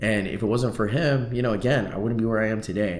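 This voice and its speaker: Room echo can be heard around a man as he talks. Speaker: vlogger and real estate agent. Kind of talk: casual vlog monologue. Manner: casual, filler-heavy.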